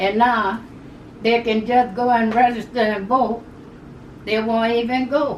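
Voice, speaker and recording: A woman speaks at a fairly slow pace with a fairly high pitch. Audible room echo and noticeable background noise surround her voice. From Louisiana, Plaquemines Parish. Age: 80s+. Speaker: elderly interviewee recounting civil rights era. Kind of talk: oral history interview. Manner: halting, repetitive.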